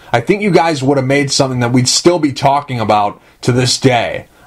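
The man's voice is somewhat breathy. His pitch is fairly high, with ordinary variation. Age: 20s. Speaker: podcast host. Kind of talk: interview. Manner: animated.

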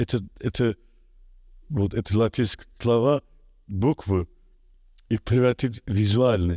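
In an Azerbaijani accent, a man talks very slowly with a fairly low pitch and a dark, mellow tone, the sound dry with no echo over a quiet background. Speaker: artist; interviewee. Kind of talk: interview. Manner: halting. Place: studio. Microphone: studio mic.

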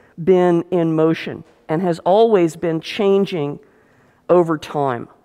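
A woman's dark, mellow tone, fairly low in pitch with ordinary variation, at a very slow pace. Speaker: history professor. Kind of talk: lecture. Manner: conversational, with fillers.

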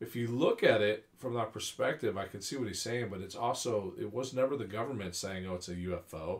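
Speaking with an American accent, a man talks at a fairly quick pace with hardly any pauses. His voice is medium-pitched and somewhat breathy, with ordinary pitch variation. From California. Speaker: UFO enthusiast. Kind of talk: casual chat.

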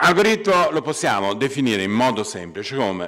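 A man speaks with vocal fry and very wide pitch swings over a quiet background. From Italy, Pisa (Tuscany); Tuscany, Italy. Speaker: computer science professor. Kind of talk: lecture. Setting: stage with audience. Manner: halting, many fillers. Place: hall. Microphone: podium.

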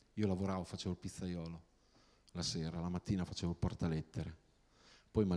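A man with a very deep, low pitch speaks in a dark, mellow tone and a monotone, flat intonation. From Romagna, Italy (small town near Tuscan border). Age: 40s. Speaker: novelist; guest. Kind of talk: talk to students. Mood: humorous, relaxed. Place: hall. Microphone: handheld.

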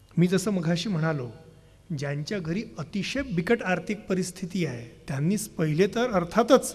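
A man's high-pitched voice with lively intonation, faint music playing in the background. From Vidarbha, Maharashtra (Gadchiroli); Maharashtra, India. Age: 30s. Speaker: youth program leader and speaker; speaker. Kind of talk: public lecture. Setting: stage with audience. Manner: fluent flowing delivery. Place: stage. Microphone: podium.

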